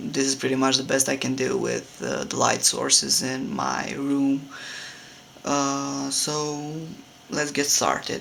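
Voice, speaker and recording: There is noticeable background noise as a man with a Romanian accent talks at a fairly slow pace. His fairly high voice stays monotone and flat. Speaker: hobby sculptor. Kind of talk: casual tutorial. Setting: home room. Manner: halting, many fillers.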